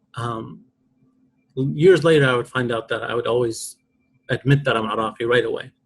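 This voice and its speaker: A somewhat breathy man at a moderate pace, with long, frequent pauses. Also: medium pitch for a man, ordinary pitch variation. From Iraq. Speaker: poet, author. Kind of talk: podcast interview. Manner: reflective, emotional.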